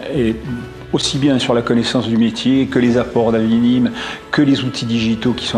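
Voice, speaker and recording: Noticeable background noise behind a man's medium-pitched voice, moderate in pace. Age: 60s. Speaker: real estate agent, former construction consultant. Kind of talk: testimonial interview. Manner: hesitant, many fillers and repetitions.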